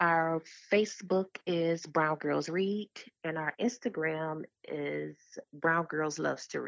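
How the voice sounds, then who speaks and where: With an American accent, the speaker talks at a very slow pace with ordinary pitch variation. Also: woman, fairly low pitch for a woman. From Detroit, Michigan. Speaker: nonprofit founder and literacy advocate. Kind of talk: interview.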